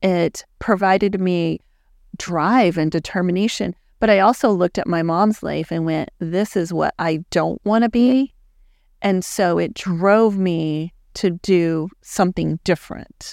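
Captured in a very clean recording with a silent background and a dry, close sound with no echo, a woman with an American accent talks at a fairly slow pace in an ordinary speaking voice, fairly low in pitch with ordinary pitch variation. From Texas, El Paso. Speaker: digital marketing agency owner. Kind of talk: casual interview. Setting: studio.

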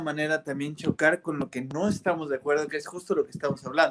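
This man's voice sits fairly high, with fairly even intonation. He talks at a very fast pace. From Irapuato, central Mexico. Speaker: bassist. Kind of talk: casual interview.

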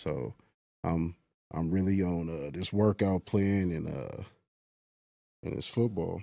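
A man with an American accent, a very deep, low pitch and a dark, mellow tone, fairly slow pace with long, frequent pauses and ordinary pitch variation. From Los Angeles. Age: 30s. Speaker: semi-pro football player. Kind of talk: casual interview. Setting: studio.

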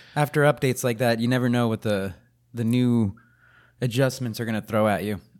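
An unremarkable speaking voice comes from a man at a medium pitch. He talks at a fairly quick pace with fairly even intonation. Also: very clean recording, silent background. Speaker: gaming podcast co-host. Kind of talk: casual chat. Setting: studio.

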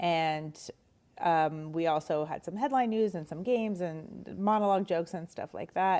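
With a Canadian accent, a woman of fairly low pitch speaks at a moderate pace in a dark, mellow tone. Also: ordinary pitch variation. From Montreal, Canada. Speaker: comedian. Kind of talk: casual interview.

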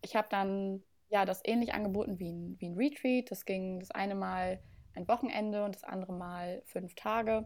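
A woman has a plain, everyday voice at a medium pitch, fairly even intonation and a moderate pace. Her loudness swings widely on a very clean recording with a silent background. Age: 20s. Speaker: portrait photographer. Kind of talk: casual interview chat.

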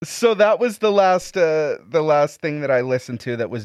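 In an ordinary speaking voice, a man talks at a moderate pace and uses ordinary pitch variation. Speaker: podcast host. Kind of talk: casual banter, podcast episode. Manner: filler-heavy, laughs often.

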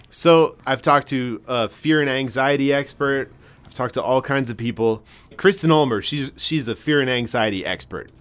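A man with an American accent speaks in a normal speaking voice at medium pitch and a moderate pace, with ordinary pitch variation and big swings in loudness. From Massachusetts. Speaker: podcast host. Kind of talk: casual interview chat. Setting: underground mine shaft set.

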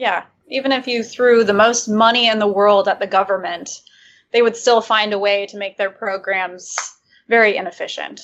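A woman with an American accent uses a plain, everyday voice, speaking at a moderate pace with a fairly high pitch and fairly even intonation. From Michigan. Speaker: libertarian YouTuber. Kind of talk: casual interview chat.

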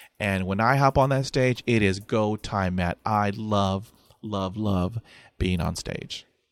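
A man with an American accent talks at a very slow pace in a fairly low voice. The recording is very clean, with a silent background and a dry, close sound with no echo. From Texas. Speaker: podcaster who stutters and public speaker. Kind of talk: casual interview chat. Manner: animated, humorous.

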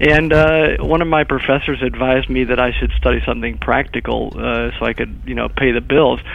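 With hardly any pauses, a man speaks at a fairly quick pace over noticeable background noise. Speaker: corporate executive. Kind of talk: interview.

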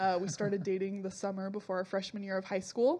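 Monotone, flat intonation marks this woman's speech. She has a Californian accent and a medium pitch. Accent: Californian American. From Southern California. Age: 20s. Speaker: church member, theology graduate. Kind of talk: casual chat.

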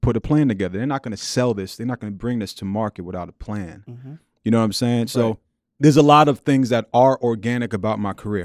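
In a New York accent, a man talks at a very fast pace with a fairly low pitch and ordinary pitch variation, on a very clean recording with a silent background and a dry, close sound with no echo. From Queens, New York City. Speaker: violinist. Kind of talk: interview. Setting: studio. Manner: relaxed, casual.

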